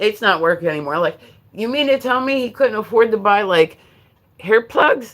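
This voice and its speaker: The speaker has a New Jersey accent and an animated tone. The pace is moderate. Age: 50s. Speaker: livestreamer. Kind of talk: casual chat. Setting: livestream.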